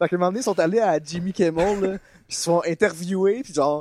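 A man talks at a fairly quick pace in a high-pitched voice with ordinary pitch variation. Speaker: podcast co-host. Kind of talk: casual chat.

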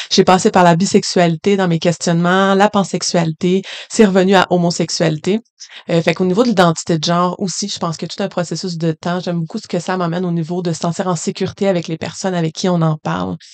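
A woman talks very fast in a fairly low, monotone voice with flat intonation, the sound dry and close with no echo. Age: 20s. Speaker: school workshop facilitator. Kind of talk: interview.

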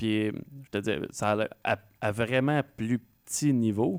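A man's voice comes on a very clean recording, the background silent. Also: dry, close sound with no echo. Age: 30s. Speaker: radio host. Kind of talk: interview.

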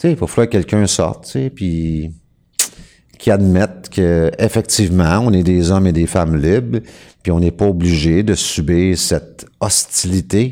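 A man with a Quebec accent speaks at a fairly slow pace in a very deep, low pitch with ordinary pitch variation. The recording is very clean with a silent background. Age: 50s. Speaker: sovereign-citizen style legal activist. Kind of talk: casual talk show explanation.

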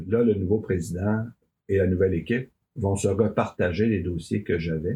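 A man with a Quebec accent talks at a fairly slow pace in a very deep, low voice with ordinary pitch variation. His tone is dark and mellow and somewhat breathy. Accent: Québécois French. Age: 60s. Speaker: farm union leader. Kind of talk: interview. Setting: studio.

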